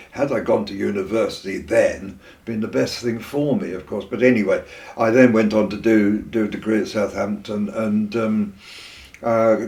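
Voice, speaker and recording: With a southern English accent, a man of fairly low pitch speaks at a moderate pace and with fairly even intonation. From southern England. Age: 80s+. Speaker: retired teacher and poet. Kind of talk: oral history interview. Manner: halting.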